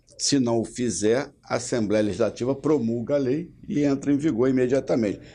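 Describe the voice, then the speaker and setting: A man speaks at a moderate pace in a medium pitch with a dark, mellow tone and ordinary pitch variation. His loudness stays very even, and he hardly pauses at all. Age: 60s. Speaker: state legislator. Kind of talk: interview.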